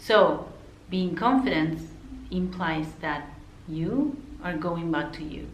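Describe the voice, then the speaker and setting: Spoken at a very slow pace in an Argentine accent, the voice has lively intonation, big swings in loudness and long, frequent pauses, with noticeable background noise and audible room echo. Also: woman, fairly low pitch for a woman. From Argentina. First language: Spanish. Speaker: counselor. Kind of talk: casual talk to camera. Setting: unusual location between clients. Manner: conversational, with fillers.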